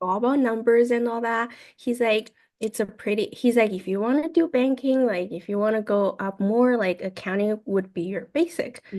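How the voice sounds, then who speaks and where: Someone with a Chinese accent speaks at a moderate pace with ordinary pitch variation against a quiet background. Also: woman, fairly high pitch for a woman. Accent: Mandarin Chinese accent in English. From China. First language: Mandarin. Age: 20s. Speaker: university student. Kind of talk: casual interview.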